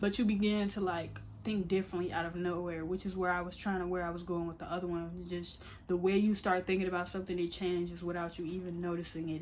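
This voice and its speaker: Over audible room echo, a woman speaks at a fairly quick pace with fairly low pitch and monotone, flat intonation. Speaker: YouTuber. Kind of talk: casual vlog monologue. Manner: stuttering, filler-heavy.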